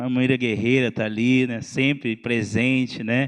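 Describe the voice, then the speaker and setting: A man speaks at a moderate pace and medium pitch. The background is quiet. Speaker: pastor. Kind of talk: sermon. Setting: church. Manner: loud.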